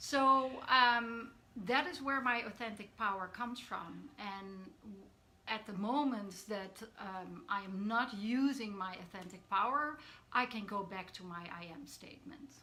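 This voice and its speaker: Amid noticeable background noise and audible room echo, a woman with a Dutch accent talks at a fairly slow pace and fairly high pitch, with lively intonation and big swings in loudness. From Netherlands. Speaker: coach. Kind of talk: live stream talk. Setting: live video stream. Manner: hesitant, many fillers.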